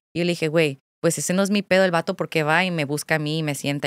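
Speaking at a very fast pace with ordinary pitch variation, a woman is heard in a dry sound with no echo over a quiet background. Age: 20s. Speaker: content creator; podcast guest, content creator. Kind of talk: casual chat. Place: studio. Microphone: studio mic.

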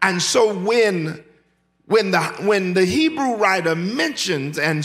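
A man is speaking. His pitch swings very widely. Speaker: pastor. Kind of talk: sermon. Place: church. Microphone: podium.

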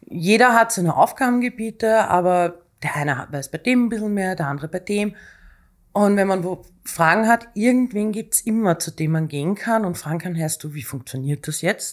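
A woman speaks at a moderate pace with lively intonation. Her background is quiet. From Austria. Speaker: executive assistant; guest. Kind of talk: casual interview. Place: studio. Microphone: studio mic.

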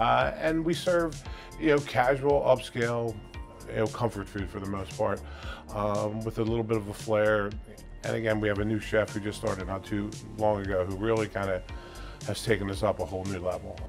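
Over clear background music, a man with a fairly low voice talks at a fairly quick pace. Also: ordinary pitch variation. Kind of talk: interview answer. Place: cafe. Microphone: lapel.

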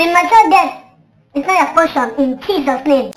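The voice is high in pitch. It moves at a moderate pace. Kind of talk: preacher's prayer declarations. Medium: comedy sketch.

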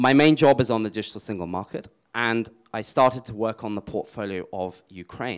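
Against a quiet background, a man talks fairly quickly with ordinary pitch variation. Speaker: European Commission policy official; speaker. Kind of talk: panel presentation with slides. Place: hall. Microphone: handheld.

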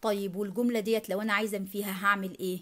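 A woman with an Egyptian accent, medium pitch, moderate pace, on a very clean recording with a silent background. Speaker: English teacher. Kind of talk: language lesson tutorial.

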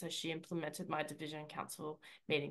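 A woman speaks at a fairly quick pace in a bright, sharp tone. The background is quiet. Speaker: public speaking club director. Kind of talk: speech evaluation. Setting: video call. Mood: warm, encouraging. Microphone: video call.

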